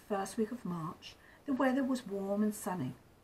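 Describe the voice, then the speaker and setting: Fairly high pitch from a woman at a moderate pace, with noticeable background noise. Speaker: grandmother storyteller. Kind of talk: storybook reading aloud.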